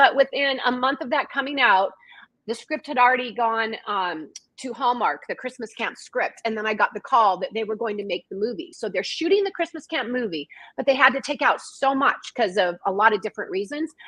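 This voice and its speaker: Lively and animated, a woman with an American accent talks at a fairly quick pace in a high pitch with a bright, sharp tone. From Washington state, US. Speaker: author and screenwriter. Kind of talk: casual chat. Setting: livestream video call. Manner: fast.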